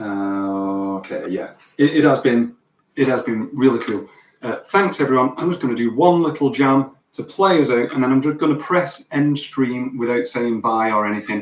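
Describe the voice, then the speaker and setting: Lively intonation from a man with a Lancashire accent, medium in pitch, at a moderate pace. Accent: Wigan accent, stands out in Sheffield. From northern England, Wigan. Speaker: guitar teacher and livestreamer. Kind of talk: casual live stream chat. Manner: halting, many fillers and repeats.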